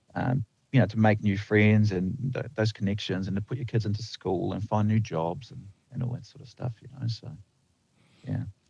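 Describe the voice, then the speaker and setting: Speaking at a moderate pace, a somewhat breathy man with a fairly low pitch and ordinary pitch variation shows big swings in loudness. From New Zealand, from age nine; born in the Netherlands. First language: Dutch. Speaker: lineman. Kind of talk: podcast interview. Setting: video call. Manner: hesitant, many fillers and restarts.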